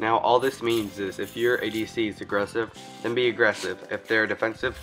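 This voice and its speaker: A man's fairly even-toned speech over background music. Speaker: gaming tips video maker. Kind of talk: game tutorial voice-over. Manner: fast.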